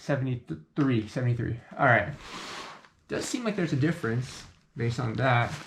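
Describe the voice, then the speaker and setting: Lively intonation marks this man's medium-pitched, somewhat breathy voice. He keeps a moderate pace broken by long, frequent pauses. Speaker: airsoft reviewer. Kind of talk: product review tutorial. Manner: halting with many fillers.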